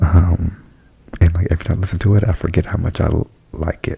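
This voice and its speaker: Soft-spoken and very deep in pitch, a man talks at a very fast pace over noticeable background noise. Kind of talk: ASMR album review. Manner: casual, chatty.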